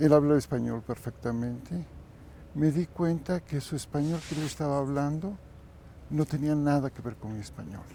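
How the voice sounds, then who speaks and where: In a Mexican accent, a man speaks at a moderate pace with a fairly high pitch and a dark, mellow tone. His pitch varies in an ordinary way, while his loudness swings widely. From Mexico. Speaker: kundalini yoga teacher. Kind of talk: interview.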